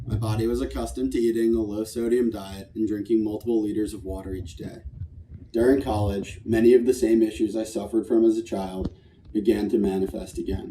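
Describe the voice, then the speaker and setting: With a dark, mellow tone and a fairly low pitch, a man speaks at a fairly quick pace, using ordinary pitch variation and big swings in loudness. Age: 20s. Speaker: patient sharing testimony. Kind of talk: testimony. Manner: read from prepared text.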